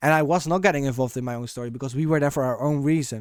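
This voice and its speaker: Speaking at a very fast pace, a man keeps a fairly high pitch and fairly even intonation. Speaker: gamer, content creator. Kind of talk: casual commentary. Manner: halting.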